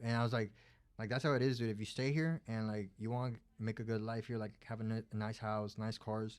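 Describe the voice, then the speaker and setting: A man with a Spanish accent talks fairly quickly at medium pitch with fairly even intonation, in a very clean recording over a silent background. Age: 20s. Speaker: plumber and business owner. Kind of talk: casual chat. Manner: halting, many fillers.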